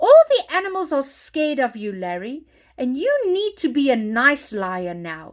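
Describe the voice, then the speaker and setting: Someone performs a put-on character voice with very wide pitch swings. The recording is very clean, with a silent background. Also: woman. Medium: read story.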